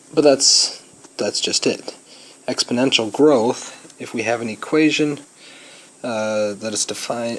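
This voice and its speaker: A quiet man speaks at a fairly slow pace and medium pitch, with ordinary pitch variation. Long, frequent pauses break up his speech, and there is noticeable background noise. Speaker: high school math teacher. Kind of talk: recorded lecture notes. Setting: recording at a vacation home. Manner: hesitant, many fillers.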